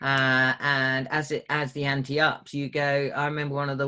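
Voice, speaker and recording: This is a man with a plain, everyday voice. His pitch is medium and his pace moderate. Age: 50s. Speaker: former fighter pilot and prisoner of war. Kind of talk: interview.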